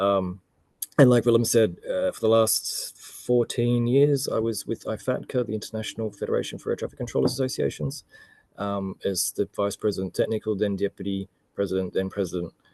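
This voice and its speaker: With an Australian accent, a man speaks at a fairly quick pace in a fairly low pitch with ordinary variation and a dark, mellow tone, the sound dry and close with no echo over a quiet background. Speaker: air traffic control expert. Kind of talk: webinar self-introduction.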